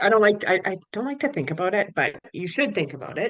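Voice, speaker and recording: A woman with a Canadian accent in a normal speaking voice, at a moderate pace with lively intonation. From Canada, British Columbia interior. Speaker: podcast guest, hiker. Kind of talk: casual chat.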